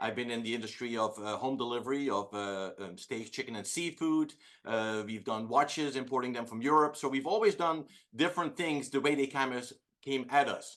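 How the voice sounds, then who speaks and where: A man with a Dutch accent, medium pitch, ordinary pitch variation and a fairly quick pace against a quiet background. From Netherlands. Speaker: entrepreneur. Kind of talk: casual chat. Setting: video call.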